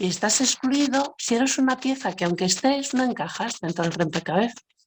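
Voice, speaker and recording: A woman speaks at a fairly slow pace with lively intonation. Hers is a normal speaking voice. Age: 60s. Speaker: panel speaker on social inclusion. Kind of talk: web seminar talk. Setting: web seminar. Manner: conversational with fillers.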